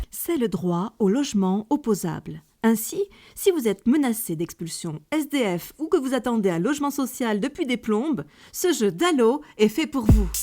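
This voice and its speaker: Upbeat in tone, a woman speaks at a fairly high pitch and a fairly slow pace, her pitch swinging very widely. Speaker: voice-over artist. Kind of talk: satirical radio-style column. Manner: upbeat, ironic.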